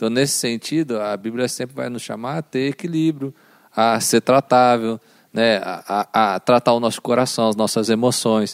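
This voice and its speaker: An ordinary speaking voice with fairly even intonation comes through a dry, close sound with no echo, on a very clean recording with a silent background. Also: man, medium pitch for a man, moderate pace. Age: 30s. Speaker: guest, former rehab clinic worker. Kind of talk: casual chat.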